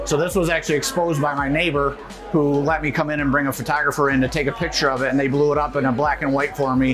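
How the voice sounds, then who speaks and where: Clear music plays behind a man talking at a very fast pace. His intonation is fairly even. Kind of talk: tour explanation to host. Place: bar. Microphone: lapel.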